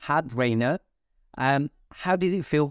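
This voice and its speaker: In a very clean recording with a silent background and a dry, close sound with no echo, a man speaks very slowly in a fairly high voice. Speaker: podcast co-host. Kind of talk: casual chat. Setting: studio. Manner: loud.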